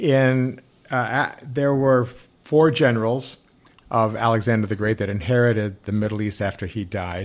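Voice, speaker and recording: A man with an American accent speaks at a moderate pace in an ordinary speaking voice. His pitch is medium, with ordinary pitch variation. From US. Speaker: rabbi. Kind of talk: casual chat.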